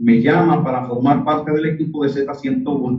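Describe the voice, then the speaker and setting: A man's fairly high-pitched voice at a moderate pace with ordinary pitch variation. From Dominican Republic. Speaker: radio announcer. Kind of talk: interview answer.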